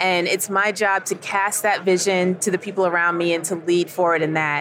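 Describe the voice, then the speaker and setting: A woman talks in a plain, everyday voice at medium pitch. Her pace is moderate. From New York, Queens. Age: 50s. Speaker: ministry executive director. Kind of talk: radio interview. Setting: convention broadcast booth.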